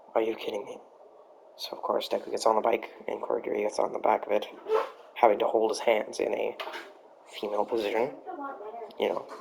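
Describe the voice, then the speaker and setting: The speech is mumbled at a very fast pace, with long, frequent pauses. Noticeable background noise is present. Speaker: amateur fan-fiction storyteller. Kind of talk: improvised storytelling. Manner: mumbling; halting. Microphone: USB mic not working right, poor sound; poor sound quality.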